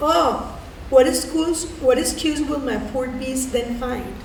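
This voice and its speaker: A woman's high voice in a Spanish accent at a very slow pace, with ordinary pitch variation, audible room echo and noticeable background noise. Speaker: community theater reader, social worker. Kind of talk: reading aloud poetry.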